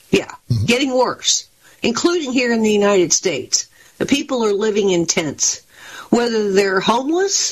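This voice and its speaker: A woman in an ordinary speaking voice, fairly high in pitch, with lively intonation, very even loudness and a moderate pace. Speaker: political analyst contributor. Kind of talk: interview discussion.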